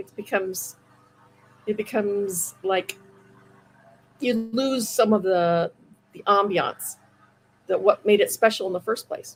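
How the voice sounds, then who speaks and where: A woman with an American accent speaks at a fairly slow pace in a medium pitch, her pitch varying in an ordinary way while her loudness swings widely and long pauses come often. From US Midwest, Iowa. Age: 60s. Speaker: comic book inker and writer. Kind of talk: interview.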